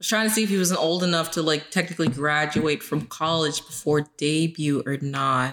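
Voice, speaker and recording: At a fairly quick pace with hardly any pauses, a woman speaks in a very deep, low pitch, with ordinary pitch variation and very even loudness. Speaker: podcast co-host. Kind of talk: casual chat.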